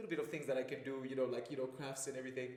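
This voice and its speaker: The voice belongs to a man. Audible room echo follows his words. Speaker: fitness coach and athlete. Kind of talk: podcast interview. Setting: studio. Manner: casual, many fillers.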